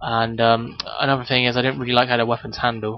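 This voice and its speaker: Talking at a very fast pace, a man with a medium-pitched voice keeps a monotone, flat intonation over noticeable background noise. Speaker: gaming youtuber. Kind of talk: gameplay commentary. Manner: hesitant, many ums.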